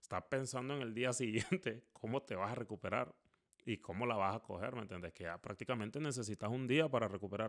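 A man at a medium pitch, fairly quick in pace, with ordinary pitch variation and a quiet background. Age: 30s. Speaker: podcast host. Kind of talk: solo monologue podcast. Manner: halting, many repetitions. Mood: reflective, conversational. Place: home room. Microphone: studio mic.

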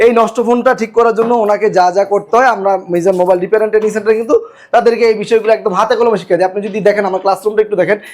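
A man talks in a high voice with monotone, flat intonation. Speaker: mobile repair trainer. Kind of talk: promotional interview.

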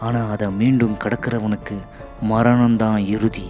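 Music plays in the background. A man speaks at a medium pitch. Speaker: voice-over artist. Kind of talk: horror story narration.

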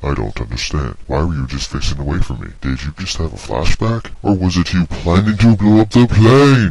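A man talks with a very deep, low pitch and very wide pitch swings. His pace is moderate, with hardly any pauses. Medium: machinima. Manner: suspicious, goofy.

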